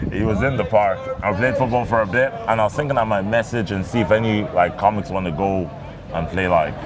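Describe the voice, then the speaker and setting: A man's fairly low voice at a fairly quick pace, with ordinary pitch variation, audible room echo and noticeable background noise. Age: 20s. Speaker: comedian. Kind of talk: casual chat.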